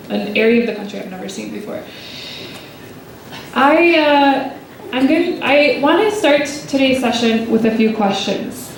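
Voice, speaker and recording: The speaker talks at a moderate pace with lively intonation, big swings in loudness and long, frequent pauses, amid audible room echo and noticeable background noise. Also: woman, high pitch for a woman. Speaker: speaker at a church retreat. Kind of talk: talk to a live audience. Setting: hall with live audience, handheld mic.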